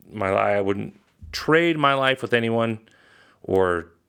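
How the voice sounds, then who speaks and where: Recorded very cleanly against a silent background, a man with a General American accent talks at a fairly low pitch in a bright, sharp tone with ordinary pitch variation. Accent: General American (Colorado). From Colorado. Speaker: podcast host. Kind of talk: casual monologue. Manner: hesitant, many fillers.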